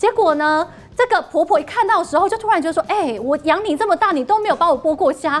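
Someone speaks at a very fast pace with lively intonation. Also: woman, extremely high pitch for a woman. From Taiwan, Yunlin. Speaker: talk show panelist. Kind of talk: TV talk show discussion. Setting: studio.

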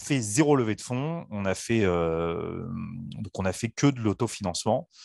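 A man's fairly low voice at a fairly slow pace, ordinary pitch variation, and a dry sound with no echo. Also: quiet background. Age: 30s. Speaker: startup founder; guest. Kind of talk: interview. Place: home room.

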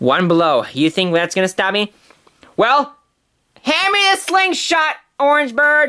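Using a put-on character voice, a man speaks at an extremely high pitch at a fairly slow pace. His tone is bright and sharp, yet clear and smooth, with ordinary pitch variation.

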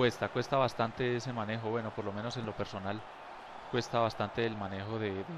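Flat and monotone, a man rattles along at a very fast pace with a medium pitch. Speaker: video game player giving commentary. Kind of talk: casual gameplay commentary to viewers.

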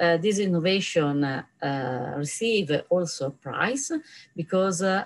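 Speaking with an Italian accent, a woman talks at a fairly slow pace in a fairly low pitch, with ordinary pitch variation. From Italy. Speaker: professor. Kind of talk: conference lecture. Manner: halting. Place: office. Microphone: webcam.

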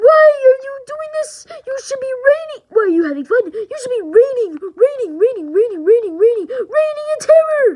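A put-on character voice, squeaky and extremely high in pitch. It moves at a fairly slow pace with long, frequent pauses. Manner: menacing, taunting.

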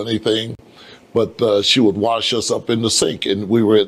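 Here a man talks. His voice has a medium pitch. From Chicago, US Midwest. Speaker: pastor. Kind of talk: testimony; interview answer. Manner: halting. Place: hall. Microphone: lapel.

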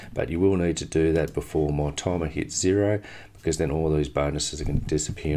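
This man's voice is very deep and low. He talks very fast with ordinary pitch variation. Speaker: affiliate product reviewer. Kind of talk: screen-share product review. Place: home room.

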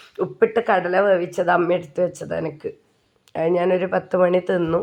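The speaker is a woman. Her pitch is medium. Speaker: vlogger. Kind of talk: casual vlog narration.

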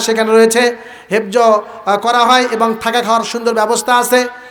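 A man talks at an extremely high pitch. The recording has audible room echo and noticeable background noise. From Bangladesh, Gaibandha (northern Bangladesh). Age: young. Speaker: Islamic preacher and madrasa head teacher. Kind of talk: sermon at a religious gathering.

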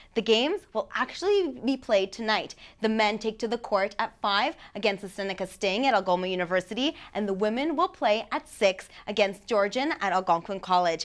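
The woman speaks at a fairly quick pace with an upbeat tone. Her pitch is fairly high, and the background is quiet. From Canada. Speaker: student sports reporter. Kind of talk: brisk scripted sports news reading, scores and award names read straight off copy. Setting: studio. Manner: steady, even newsreader delivery with upbeat sign-off. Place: studio.

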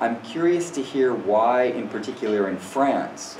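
A man speaks with lively intonation. Audible room echo and light background noise are present. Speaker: workshop organizer moderating. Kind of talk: moderating discussion. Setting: seminar room. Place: classroom. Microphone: camera far.

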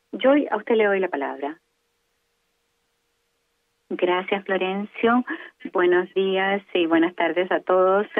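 A woman's medium-pitched voice, slow and broken by long, frequent pauses, with ordinary pitch variation and a dry, close sound with no echo.

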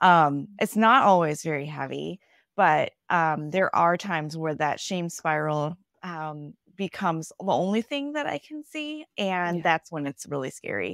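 A woman with an American accent, fairly low in pitch, at a moderate pace with long, frequent pauses and ordinary pitch variation, in a dry sound with no echo and a quiet background. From US Midwest. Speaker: pastor. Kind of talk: casual interview. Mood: reflective, personal, earnest. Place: home room. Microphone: earbuds.

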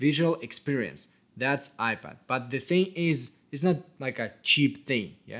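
Speaking with a non-native accent, a man shows ordinary pitch variation. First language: not English. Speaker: cinematographer. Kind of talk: tutorial. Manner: casual. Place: home room.

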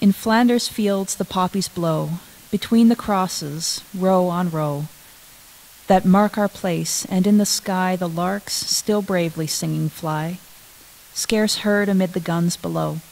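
A woman's fairly slow speech with fairly even intonation. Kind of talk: prayer and poem reading in a service. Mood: solemn, reverent. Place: church. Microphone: podium.

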